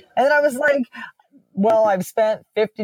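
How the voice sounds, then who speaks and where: With an unremarkable speaking voice, a woman talks at a moderate pace with ordinary pitch variation in a dry, close sound with no echo. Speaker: fitness trainer. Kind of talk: interview.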